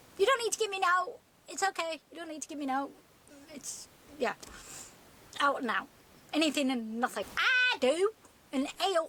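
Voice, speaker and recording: A woman with a Yorkshire accent speaks in a raised, projected voice at an extremely high pitch. Her pitch swings very widely, with long, frequent pauses. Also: moderate pace. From Sheffield, Yorkshire. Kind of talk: casual talk to camera. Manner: chatty, humorous.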